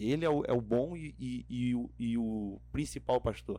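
The speaker is a man. He talks with a Rio de Janeiro accent. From Rio de Janeiro state interior, Região dos Lagos. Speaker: theology student and pastor. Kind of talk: casual interview. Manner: halting, repeats words.

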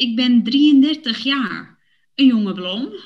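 Her pace is very slow. The woman's fairly high voice carries lively intonation. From Netherlands, Woerden (Utrecht). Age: 30s. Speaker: podcast host for Dutch learners. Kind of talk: scripted casual chat for language learners.

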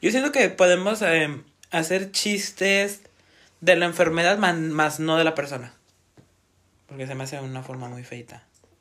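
Bright and sharp in tone, a man with a high voice for a man speaks at a moderate pace, animated and with lively intonation, big swings in loudness, and long, frequent pauses. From northern Mexico. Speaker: podcast co-host. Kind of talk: casual chat.

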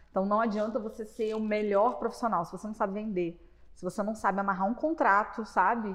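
A woman with a plain, everyday voice speaks fairly quickly at a fairly high pitch, her intonation fairly even. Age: 20s. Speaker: podcast host. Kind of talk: casual chat.

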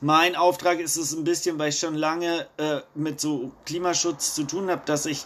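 At a fairly slow pace, a man talks in a normal speaking voice, fairly high in pitch and fairly even in intonation. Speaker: randomly selected citizen participant, climate activist. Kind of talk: online workshop discussion.

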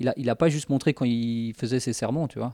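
A man talks at a moderate pace in a medium pitch, his tone dark and mellow with ordinary pitch variation. The recording is very clean with a silent background and a dry, close sound with no echo. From Spanish heritage. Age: 30s. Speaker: youth leader. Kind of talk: casual chat.

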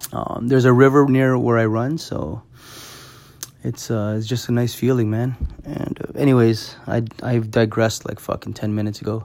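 A man with a Canadian accent and a plain, everyday voice speaks at a moderate pace with fairly even intonation. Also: medium pitch for a man. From Canada, Toronto. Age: 30s. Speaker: podcast host and club MC. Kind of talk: casual solo monologue. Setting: bedroom at home. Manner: casual with frequent fillers.

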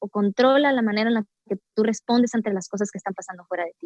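A plain, everyday voice from a woman, fairly high in pitch, with ordinary pitch variation and a dry, close sound with no echo. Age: 20s. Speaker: yoga practitioner and entrepreneur. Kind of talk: casual interview.

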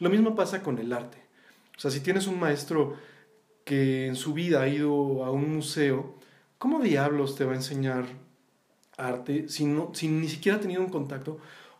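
A fairly high-pitched man at a moderate pace, with long, frequent pauses, ordinary pitch variation and audible room echo. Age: 40s. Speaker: visual artist and former art professor. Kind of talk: casual interview conversation.

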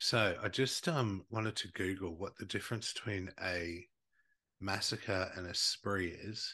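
Against a quiet background, a man with an Australian accent speaks at a fairly slow pace in a fairly low pitch, his tone animated, bright and sharp. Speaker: podcast host. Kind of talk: true-crime storytelling over drinks, casual chat. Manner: animated, jokey, swears.

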